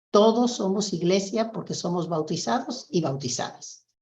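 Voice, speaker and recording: This woman's voice is somewhat breathy and medium in pitch. She speaks at a moderate pace. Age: 70s. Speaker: nun. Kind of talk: testimony.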